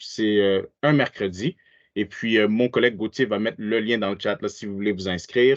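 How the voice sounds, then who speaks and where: A man with a fairly low pitch, fairly even intonation, a moderate pace and a normal speaking voice. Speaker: webinar presenter. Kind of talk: webinar presentation.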